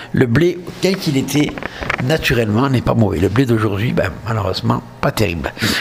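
Speaking with a southern French accent, a man at medium pitch keeps a moderate pace and very even loudness while his pitch swings very widely over noticeable background noise. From southern France. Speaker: podcast host. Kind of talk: casual monologue. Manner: hesitant.

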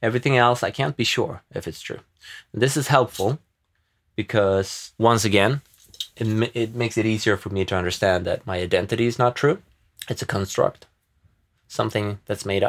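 In a Swedish accent, a man speaks at a medium pitch and moderate pace with ordinary pitch variation. He takes long, frequent pauses, and the recording is very clean with a silent background. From Sweden. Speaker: podcaster, entrepreneur. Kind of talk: solo reflective monologue. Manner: rambling, thoughtful.

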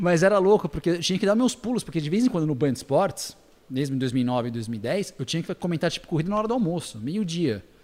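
A man with a high pitch, very wide pitch swings and a very fast delivery. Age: 30s. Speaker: sports commentator. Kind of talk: casual chat.

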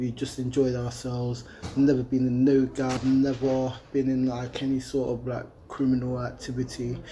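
Over noticeable background noise, a man with an East Midlands accent talks at a moderate pace, medium in pitch and monotone, flat in intonation. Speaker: youth charity founder. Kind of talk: casual interview. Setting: leisure centre.

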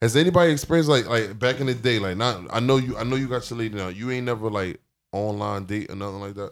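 A man speaks at a very fast pace in a medium pitch, his pitch varying in an ordinary way. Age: 30s. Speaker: rapper. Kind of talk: casual chat.

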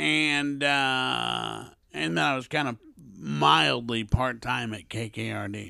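A man with an American accent talks at a very slow pace in a bright, sharp tone. His pitch swings very widely on a very clean recording with a silent background. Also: fairly low pitch for a man. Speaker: podcast co-host. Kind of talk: casual chat.

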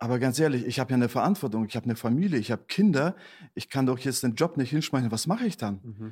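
Talking at a very fast pace with lively intonation, a man speaks at medium pitch on a very clean recording with a silent background. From Germany, Detmold (East Westphalia, NRW). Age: 40s. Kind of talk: casual interview.

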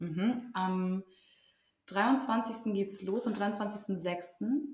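With audible room echo, a woman talks at medium pitch with ordinary pitch variation. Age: 20s. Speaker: social work student and amateur actor. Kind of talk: casual chat. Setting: at a table in the host's home.

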